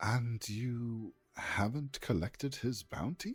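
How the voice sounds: In a put-on character voice at a low-to-middle pitch, the speaker talks at a very slow pace.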